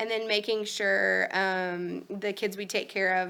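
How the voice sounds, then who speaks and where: A woman speaks at a medium pitch in a bright, sharp tone. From Kentucky. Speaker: pediatric liver doctor. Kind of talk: medical presentation. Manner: fast.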